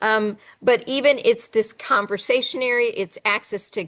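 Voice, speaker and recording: A woman's normal speaking voice, fairly high in pitch, at a fairly slow pace over a quiet background. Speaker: STEM coordinator and educator. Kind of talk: webinar presentation.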